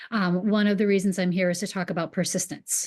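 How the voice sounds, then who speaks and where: Intonation stays fairly even in a Boston accent. The background is quiet. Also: woman. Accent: Boston accent, occasionally drops R. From New England. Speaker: real estate agent. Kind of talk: webinar presentation.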